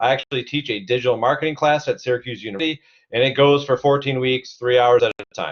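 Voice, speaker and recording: A man with an American accent and a medium pitch talks at a very fast pace. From Cleveland, Ohio. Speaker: CEO and digital marketing instructor. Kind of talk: webinar presentation. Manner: energetic.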